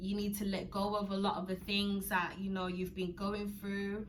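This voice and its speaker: Noticeable background noise and audible room echo around a woman's medium pitch. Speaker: YouTuber. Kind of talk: personal vlog. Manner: fast; stumbling over words.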